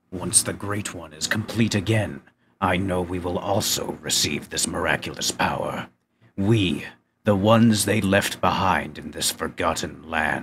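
Putting on a character voice, a man talks at a moderate pace and a fairly low pitch. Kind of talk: solemn legend telling. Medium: audio drama. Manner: reverent, yearning, bitter.

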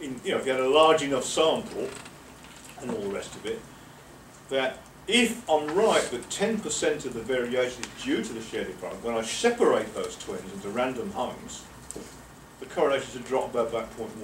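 A man with an English accent and a fairly high pitch talks at a fairly quick pace, his pitch swinging very widely. He takes long, frequent pauses amid light background noise and audible room echo. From England. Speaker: professor. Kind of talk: lecture. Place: meeting room. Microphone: camera far.

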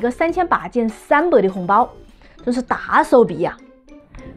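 A woman speaks with a Wuhan accent, her high voice making very wide pitch swings. Faint music plays in the background. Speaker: lifestyle vlogger. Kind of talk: casual talk to camera. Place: home room. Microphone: phone near.

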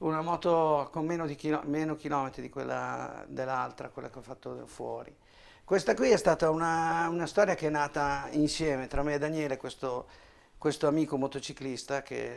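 With an unremarkable speaking voice, a man speaks at a moderate pace and a fairly high pitch, showing ordinary pitch variation and big swings in loudness. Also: very clean recording, silent background. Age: 50s. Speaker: motorcycle mechanic. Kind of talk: casual interview in workshop. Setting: motorcycle workshop.

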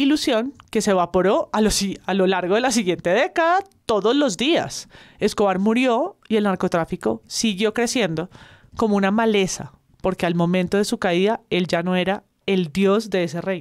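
A woman speaks in a normal speaking voice at a medium pitch, at a moderate pace with lively intonation and very even loudness. The recording is very clean with a silent background and a dry, close sound with no echo. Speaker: podcast analyst. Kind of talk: casual chat.

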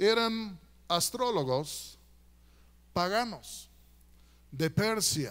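Against a quiet background, a man with a high pitch and lively intonation speaks at a very slow pace, leaving long, frequent pauses. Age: 60s. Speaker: guest preacher. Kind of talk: sermon. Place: church. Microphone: handheld.

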